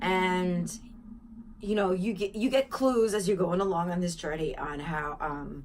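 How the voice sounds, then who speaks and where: With audible room echo, a woman speaks fairly slowly in a bright, sharp tone with lively intonation. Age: 40s. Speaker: spiritual vlogger. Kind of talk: casual monologue. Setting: home apartment.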